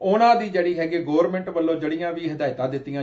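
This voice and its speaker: With a Punjabi accent, this man talks at a fairly high pitch with ordinary pitch variation. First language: Punjabi (speaking Hindi). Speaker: TV interview host. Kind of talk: interview introduction. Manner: hesitant, many filler words.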